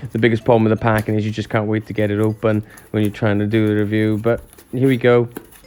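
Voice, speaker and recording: A man speaks very fast in a fairly low, flat monotone. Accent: Welsh. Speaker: model railway YouTuber. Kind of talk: unboxing review. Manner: casual, chatty.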